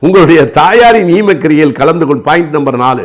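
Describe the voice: A man at a moderate pace with lively intonation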